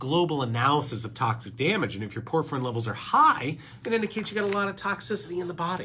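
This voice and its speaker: A man's bright, sharp, fairly high voice, animated in tone, at a very fast pace with very wide pitch swings. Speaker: doctor, podcast host. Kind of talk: educational talk presenting lab results.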